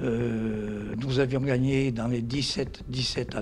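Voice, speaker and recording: Noticeable background noise behind a man's medium pitch and ordinary pitch variation. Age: 80s+. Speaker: former rugby player. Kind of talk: interview testimony. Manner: halting.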